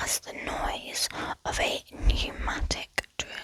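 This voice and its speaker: Whispering, the speaker goes at a very slow pace. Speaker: ASMR creator. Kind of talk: ASMR whispered facts. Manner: whispered.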